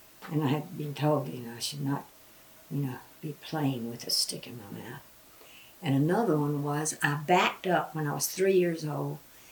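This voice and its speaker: Through noticeable background noise, a woman with a Southern Appalachian accent speaks at a moderate pace in a very deep, low pitch with ordinary pitch variation. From western North Carolina and East Tennessee. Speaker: grandmother interviewee. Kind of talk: oral history interview.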